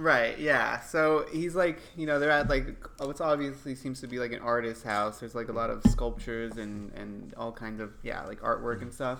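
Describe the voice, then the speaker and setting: With music in the background, a man talks at a moderate pace with hardly any pauses. His loudness swings widely while his pitch varies in an ordinary way. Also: medium pitch for a man. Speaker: podcast co-host. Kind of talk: casual chat.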